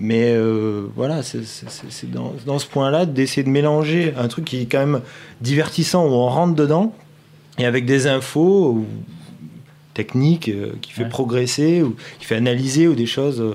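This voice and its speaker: Speaking at a fairly slow pace with long, frequent pauses, a man has a dark, mellow tone, a medium pitch and ordinary pitch variation. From southeast France, Nice hinterland. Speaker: video director for a poker company. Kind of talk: casual chat.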